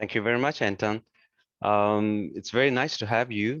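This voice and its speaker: A man with a non-native accent speaks at a fairly low pitch. The background is quiet. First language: not English. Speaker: software application specialist. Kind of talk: webinar presentation. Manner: deliberately slow; halting, many fillers.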